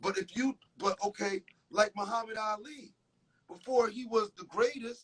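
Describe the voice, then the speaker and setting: With a New York accent, a man speaks at a moderate pace in a high pitch, his loudness swinging widely in a dry, close sound with no echo. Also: ordinary pitch variation. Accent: New York tri-state urban American. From Connecticut, USA. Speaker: R&B soul singer. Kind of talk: interview answer.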